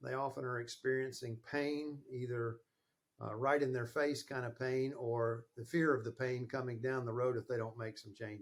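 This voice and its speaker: A man at a medium pitch and moderate pace, with a Southern US accent and fairly even intonation. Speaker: sales and marketing consultant. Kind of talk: interview podcast.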